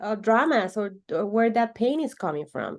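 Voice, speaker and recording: Over a quiet background, a woman with a Spanish accent speaks at a fairly slow pace, her pitch making very wide swings. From Venezuela. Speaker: holistic coach. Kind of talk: interview conversation. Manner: halting, repeats words.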